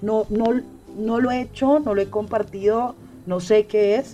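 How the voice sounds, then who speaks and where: Her tone dark and mellow, a woman talks with fairly even intonation. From Colombia, Bogotá. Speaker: podcast guest. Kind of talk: casual chat.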